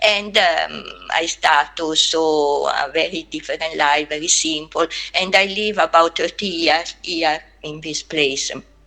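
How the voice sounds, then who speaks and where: With an Italian accent, a woman speaks at a fairly slow pace in a fairly low pitch and fairly even intonation, over noticeable background noise. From Italy. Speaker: anthropologist. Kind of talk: webinar talk. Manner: halting.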